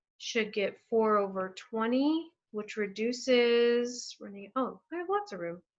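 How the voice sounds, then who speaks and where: With hardly any pauses, a woman of fairly high pitch talks with ordinary pitch variation and big swings in loudness. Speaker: math teacher. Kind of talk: tutorial. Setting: screen-share recording. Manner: animated.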